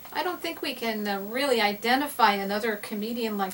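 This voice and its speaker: Noticeable background noise sits behind the recording. A woman talks at a very fast pace at a medium pitch. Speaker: talk show host, interviewer. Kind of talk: interview questions.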